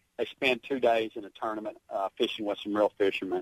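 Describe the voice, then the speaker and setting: Here a man talks in a fairly low pitch. His pace is fairly quick. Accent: slight Southern US. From Arkansas. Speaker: songwriter and military veteran. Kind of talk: radio interview. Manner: halting.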